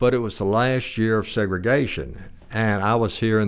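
With a Southern US accent, a man talks at a moderate pace. His pitch is fairly low and his intonation fairly even. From Arkansas (Little Rock), born in Texas. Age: old. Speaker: retired judge and author. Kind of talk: interview.

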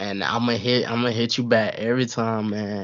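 A normal speaking voice is heard. It moves at a moderate pace. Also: man. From US South, Atlanta, Georgia. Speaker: gaming streamer and content creator. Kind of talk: casual chat.

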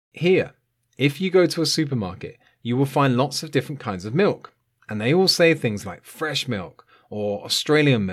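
Speaking at a fairly slow pace, a man with a British accent makes very wide pitch swings. The recording is very clean, with a silent background. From UK. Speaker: English teacher podcaster. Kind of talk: scripted educational monologue for learners. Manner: clear, measured pace for learners.

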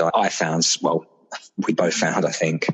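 A man with a British accent and a very deep, low pitch speaks at a moderate pace. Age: 30s. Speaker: father sharing miscarriage experience. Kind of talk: interview about personal loss. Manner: hesitant, with fillers.

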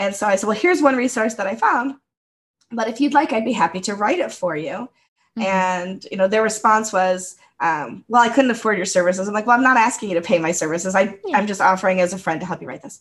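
In an American accent, a somewhat breathy woman talks at a very fast pace with lively intonation and big swings in loudness, on a very clean recording with a silent background. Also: medium pitch for a woman. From United States. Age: 50s. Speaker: podcast co-host. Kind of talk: casual chat.

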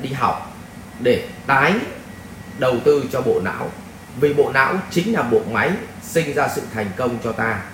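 Fairly slow speech from a man amid noticeable background noise and audible room echo. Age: 40s. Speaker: life coach and spiritual teacher. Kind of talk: Q&A lecture answering a viewer question. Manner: conversational, with rhetorical prompts to the audience.

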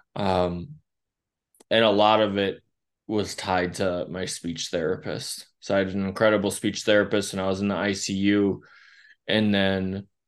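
A man with an American accent speaks fairly slowly, his pitch fairly low and his intonation fairly even, in a plain, everyday voice. The background is quiet. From rural Wisconsin. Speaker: social worker and therapist. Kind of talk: interview.

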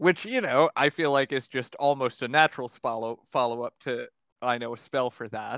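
In an ordinary speaking voice, a man speaks at a medium pitch and moderate pace with fairly even intonation, the sound dry and close with no echo in a very clean recording with a silent background. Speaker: player in tabletop roleplaying game. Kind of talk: casual tabletop roleplaying session.

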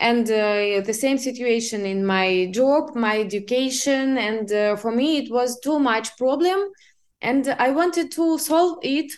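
A woman speaks at a fairly slow pace. Her high voice has lively intonation. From Siberia, Russia. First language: Russian. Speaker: business assistant. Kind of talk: interview. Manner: halting.

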